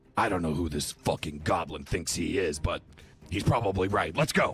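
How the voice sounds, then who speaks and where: A man puts on a raspy character voice at a very deep, low pitch. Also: moderate pace. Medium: actual play. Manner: gruff, profane, urgent.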